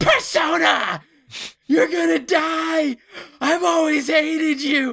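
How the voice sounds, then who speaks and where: This put-on character voice sits at a high pitch and moves at a fairly slow pace. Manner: psychotic, screaming, hateful.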